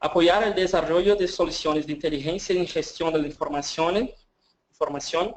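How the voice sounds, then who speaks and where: Speaking at a moderate pace, a man with a Portuguese accent uses a high pitch and fairly even intonation. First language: Portuguese (speaking Spanish). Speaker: government evaluation official. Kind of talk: webinar presentation. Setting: online webinar. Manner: halting.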